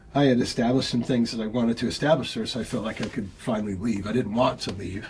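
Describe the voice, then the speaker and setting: This man's medium-pitched voice is somewhat breathy and moves at a fairly fast clip. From US Pacific Northwest, Auburn, Washington. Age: 50s. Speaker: painter and art teacher. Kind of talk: interview, casual chat. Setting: artist's studio visit. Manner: casual, halting with fillers.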